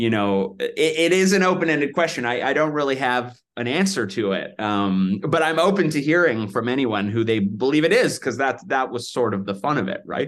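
Over a quiet background, a man with an unremarkable speaking voice uses lively intonation at a moderate pace. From Vancouver, Canada. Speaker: filmmaker, director. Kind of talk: casual interview chat.

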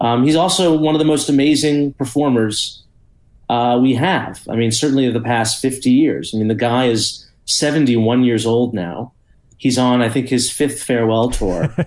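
An unremarkable speaking voice, its pitch varying in an ordinary way, moderately paced. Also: man, medium pitch for a man. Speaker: journalist and think tank fellow. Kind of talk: casual chat.

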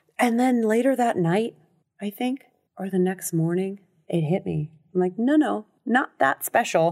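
With a Californian accent, a woman speaks with lively intonation. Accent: Californian American English. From Los Angeles, US West Coast. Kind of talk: casual interview about addiction recovery. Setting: podcast studio booth.

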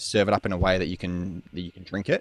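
Speaking in an Australian accent, a man comes through in a very clean recording with a silent background and a dry, close sound with no echo. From Perth, Western Australia. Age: 20s. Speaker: sex coach. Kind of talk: interview conversation. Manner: halting, many fillers.

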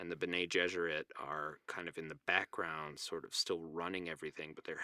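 Speaking at a moderate pace with an American accent, a man has a very deep, low pitch and a bright, sharp tone, recorded with a dry, close sound and no echo. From New Mexico, US. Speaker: podcast guest discussing a novel. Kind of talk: casual chat. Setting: home closet recording.

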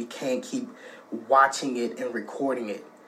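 A man's medium-pitched, flat, monotone delivery over noticeable background noise. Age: 20s. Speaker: contributor sending recorded message. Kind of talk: recorded personal message. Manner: impassioned.

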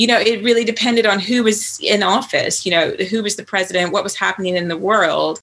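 The delivery moves at a fairly quick pace in an American accent. The intonation is fairly even, and it is an unremarkable speaking voice. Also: woman, medium pitch for a woman. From US, Virginia. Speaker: writer and author. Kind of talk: interview.

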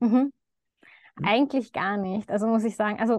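A woman speaks with fairly even intonation. The sound is dry and close with no echo, and the background is quiet. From Lower Austria (Baden). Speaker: doctor in training, coaching client. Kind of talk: testimonial interview. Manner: hesitant, many fillers.

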